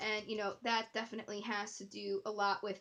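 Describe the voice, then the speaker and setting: At a moderate pace, a woman with a fairly high pitch uses a normal speaking voice. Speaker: tarot reader. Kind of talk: tarot reading. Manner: casual, filler-heavy.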